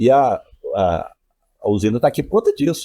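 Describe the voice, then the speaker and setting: Sounding dry and close with no echo, a man speaks at a moderate pace. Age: 60s. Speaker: local politician. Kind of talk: podcast interview.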